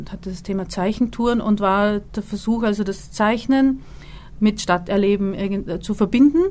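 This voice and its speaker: A woman's fairly even intonation comes at a fairly slow pace. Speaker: visual artist. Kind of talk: interview. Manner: halting.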